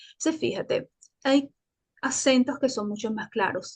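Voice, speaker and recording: A woman speaks with a high pitch. Her pitch variation is ordinary. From Venezuela, Caracas. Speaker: Spanish teacher and journalist. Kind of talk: interview. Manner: hesitant, with fillers and self-repairs.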